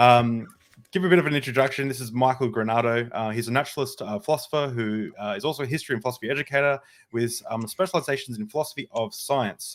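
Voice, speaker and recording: With an Australian accent and a medium pitch, a man speaks at a very fast pace in a very clean recording with a silent background. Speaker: podcast host. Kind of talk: casual interview chat. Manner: halting, many fillers.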